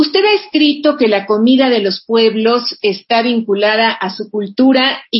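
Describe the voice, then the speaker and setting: This is a woman talking. A slight breathiness runs through her voice. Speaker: radio host. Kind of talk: radio interview.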